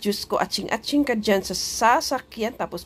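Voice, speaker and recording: Here a woman is speaking. Her tone is animated. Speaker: overseas worker vlogger. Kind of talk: casual vlog talk.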